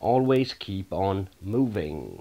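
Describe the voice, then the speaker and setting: A man talks in a Danish accent at a fairly low pitch. The recording is very clean, with a silent background. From Denmark. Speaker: gaming YouTuber. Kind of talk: tutorial.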